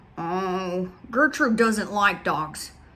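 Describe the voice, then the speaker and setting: Putting on a character voice, a woman mumbles at a medium pitch with lively intonation. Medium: read story. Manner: hesitant, mumbling.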